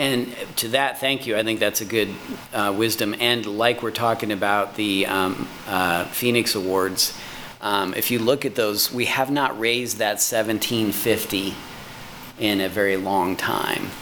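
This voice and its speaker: Against noticeable background noise, a man speaks fairly slowly at a fairly low pitch with fairly even intonation. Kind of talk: formal meeting discussion. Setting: video call meeting.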